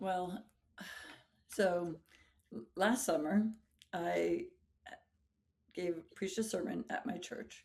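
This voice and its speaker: Speaking at a very slow pace, a woman leaves long, frequent pauses. Her medium-pitched voice has vocal fry and lively intonation. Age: 40s. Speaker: high school English teacher and pastor. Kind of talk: interview conversation.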